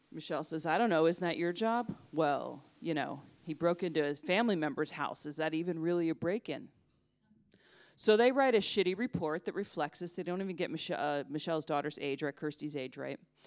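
In a very clean recording with a silent background, a woman with an American accent speaks in an unremarkable speaking voice at a fairly low pitch, a fairly quick pace and with lively intonation. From United States. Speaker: journalist. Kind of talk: storytelling talk. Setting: stage with audience.

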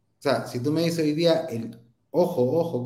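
In audible room echo, a man with a dark, mellow tone speaks at a fairly slow pace using lively intonation. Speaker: entrepreneur and inventor. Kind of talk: interview.

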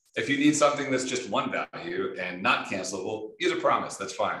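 A man speaks in an American accent. Audible room echo surrounds his voice. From Michigan. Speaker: software engineer, open-source project lead. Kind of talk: casual interview.

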